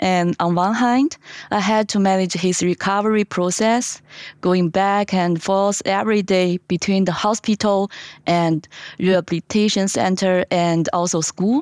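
A woman with a Chinese accent, medium pitch, fairly even intonation and a fairly slow pace, very even loudness, dry close sound with no echo, and a very clean recording over a silent background. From China. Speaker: product manager. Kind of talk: panel discussion.

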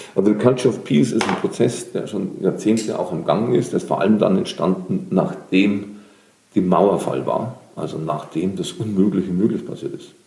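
A man's fairly low-pitched voice with lively intonation against noticeable background noise. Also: moderate pace. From Lower Bavaria, Germany. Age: 50s. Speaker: social entrepreneur and creative coach. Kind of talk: interview.

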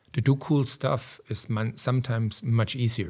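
The man's voice is somewhat breathy and sits at medium pitch. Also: very clean recording, silent background. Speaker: software product strategy executive. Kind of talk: casual interview.

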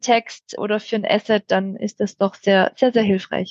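This woman speaks in a Swabian accent with a fairly high pitch. Her intonation is flat and monotone, and the sound is dry and close with no echo. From Swabia, near Stuttgart, Germany. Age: 30s. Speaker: IT change management team lead. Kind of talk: podcast interview.

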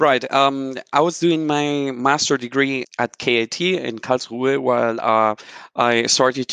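Over a quiet background, a man with a Spanish accent speaks at a fairly slow pace in a bright, sharp tone with ordinary pitch variation, the sound dry and close with no echo. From Colombia. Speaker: software consultant. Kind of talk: interview.

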